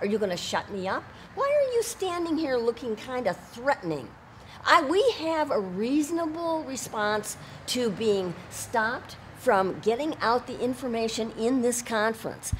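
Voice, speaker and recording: Speaking loudly at a fairly slow pace, a woman uses a high-pitched voice. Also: lively intonation. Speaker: citizen journalist and protester. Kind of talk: heated confrontation. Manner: animated.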